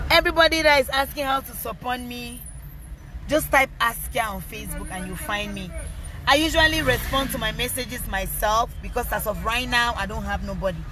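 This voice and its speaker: A woman at a fairly quick pace, with big swings in loudness and noticeable background noise. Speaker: rapper and social media personality. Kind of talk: live stream Q&A. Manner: loud at times.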